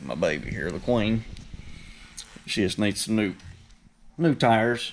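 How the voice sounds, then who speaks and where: A man talks at a fairly slow pace with an Appalachian accent. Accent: rural Appalachian (self-described hillbilly). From West Virginia. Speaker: car enthusiast YouTuber. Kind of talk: casual vlog tour. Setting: garage. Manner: casual, profane.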